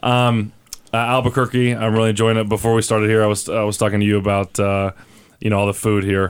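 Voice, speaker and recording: A man with an American accent at a fairly low pitch, very fast and monotone, with flat intonation and very even loudness. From Oklahoma. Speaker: professional soccer player. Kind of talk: interview. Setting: radio studio.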